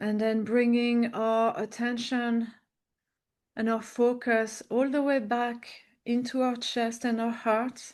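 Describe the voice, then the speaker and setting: Against a quiet background, a woman with a strong French accent and a fairly high pitch speaks very slowly in a flat monotone at very even loudness. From French-speaking country. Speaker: podcast host. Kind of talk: interview conversation; guided meditation. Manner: slow, calm.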